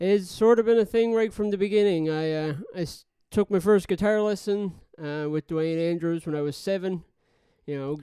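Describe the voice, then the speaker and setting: With a Newfoundland accent, a man speaks at a moderate pace and a high pitch. His tone is dark and mellow, with ordinary pitch variation. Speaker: audio engineer. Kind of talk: casual chat.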